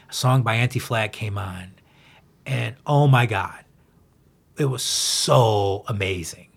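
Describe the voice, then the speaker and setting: Speaking very slowly with long, frequent pauses, a man uses a medium pitch, a somewhat breathy voice, and ordinary pitch variation. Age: 50s. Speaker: punk-influenced rock musician. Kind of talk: casual interview.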